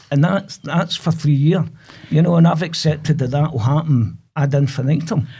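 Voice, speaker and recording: A man talks at a moderate pace with fairly high pitch and ordinary pitch variation. His voice is somewhat breathy, with a dark, mellow tone. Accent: Glasgow. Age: 60s. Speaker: prostate cancer patient. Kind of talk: testimony. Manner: halting.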